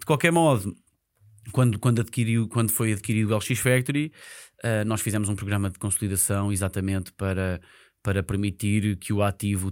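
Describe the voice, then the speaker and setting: Using a normal speaking voice, a man talks at a fairly quick pace with a fairly low pitch and ordinary pitch variation. The recording is very clean, with a silent background. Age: 30s. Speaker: real estate investment professional. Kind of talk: casual interview. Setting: studio.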